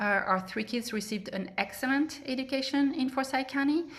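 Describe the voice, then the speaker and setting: Her tone bright and sharp, a woman speaks at a moderate pace with a high pitch and ordinary pitch variation. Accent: French. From France. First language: French. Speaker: political candidate. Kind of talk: candidate forum speech. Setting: public forum. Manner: hesitant, many fillers.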